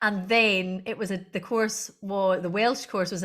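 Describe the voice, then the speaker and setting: With a Scottish accent, a woman speaks at a fairly slow pace, her pitch medium and her intonation fairly even. The recording is very clean, with a silent background. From Scotland, Argyll. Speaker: Gaelic language director and singer. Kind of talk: interview conversation.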